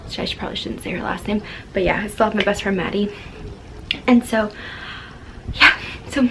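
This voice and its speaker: A woman's medium-pitched voice at a fairly quick pace, broken by long, frequent pauses, over noticeable background noise. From Florida. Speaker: lifestyle vlogger. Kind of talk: casual advice vlog. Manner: fast; animated.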